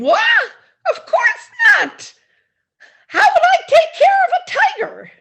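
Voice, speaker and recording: A woman puts on a squeaky character voice at an extremely high pitch, with very wide pitch swings. She goes at a fairly slow pace with long, frequent pauses. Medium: stage play. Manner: giggly, breezy.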